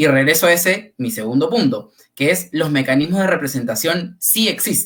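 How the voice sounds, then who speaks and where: An ordinary speaking voice from a man, fairly high-pitched, lively in intonation, moderate in pace. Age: 20s. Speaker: panelist. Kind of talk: panel discussion. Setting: livestream.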